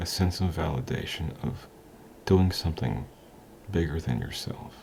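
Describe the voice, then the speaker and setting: A man talks at a moderate pace in a very deep, low voice with vocal fry. His pitch varies in an ordinary way. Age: 40s. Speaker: motivational vlogger. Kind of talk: motivational talk to camera. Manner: casual, hesitant with frequent ums.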